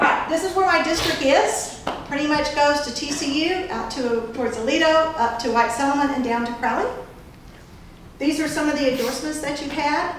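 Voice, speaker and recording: In a Texan accent, a woman talks at a fairly quick pace with a high pitch and ordinary pitch variation. Noticeable background noise and audible room echo fill the recording. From Texas, Fort Worth. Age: 60s. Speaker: political candidate. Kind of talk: campaign speech.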